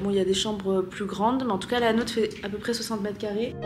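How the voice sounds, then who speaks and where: A woman's fairly high voice in audible room echo, amid noticeable background noise. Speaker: travel vlogger. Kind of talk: casual vlog. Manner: animated.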